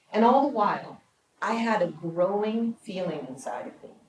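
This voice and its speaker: Somewhat breathy, a woman speaks at medium pitch and a moderate pace with ordinary pitch variation. Audible room echo is present. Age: 60s. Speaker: documentary producer and speaker. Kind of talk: prepared public speech.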